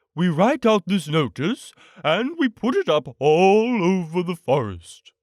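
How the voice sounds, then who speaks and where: A man uses a put-on character voice, pitched high and delivered at a fairly slow pace. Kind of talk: bedtime story. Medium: read story. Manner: pompous, wordy.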